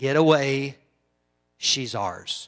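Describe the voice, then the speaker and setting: A man at medium pitch does a put-on character voice. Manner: menacing, possessive.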